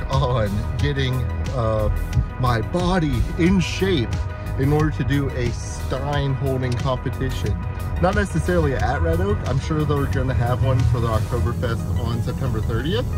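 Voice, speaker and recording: Clear music plays behind a man speaking at a moderate pace. The sound is dry with no echo. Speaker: travel vlogger. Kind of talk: casual vlog chat. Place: car. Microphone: phone near.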